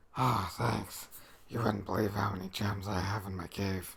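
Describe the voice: A raspy, cartoonish character voice from a man, very deep and low in pitch, at a moderate pace over light background noise.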